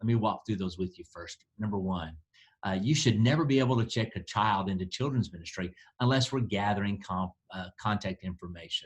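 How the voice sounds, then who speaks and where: At a fairly quick pace, a man speaks in a fairly low, somewhat breathy voice with ordinary pitch variation. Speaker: church planting director. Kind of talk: training talk. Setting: district office recording. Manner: fast.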